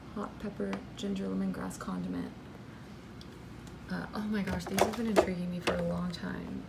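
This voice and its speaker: A woman whispers quietly at a moderate pace. Noticeable background noise sits behind her. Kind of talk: casual talk to camera, home fridge tour. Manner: whispered, hushed.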